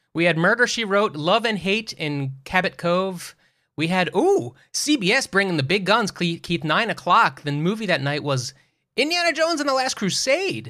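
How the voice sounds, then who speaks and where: A man with a high pitch and a bright, sharp tone uses a raised, projected voice with very wide pitch swings on a very clean recording with a silent background. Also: moderate pace. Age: 40s. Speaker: podcast co-host. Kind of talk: casual chat.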